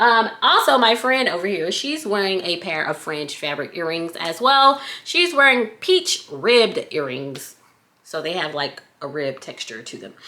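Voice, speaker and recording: Her pitch is medium. The woman's voice swings very widely in pitch. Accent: American. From US South. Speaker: accessory maker and product reviewer. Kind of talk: casual product review vlog. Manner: chatty.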